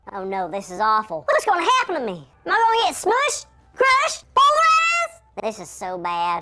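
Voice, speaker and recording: A woman puts on a character voice that is squeaky and extremely high in pitch. She speaks at a moderate pace. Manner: panicked, dismayed.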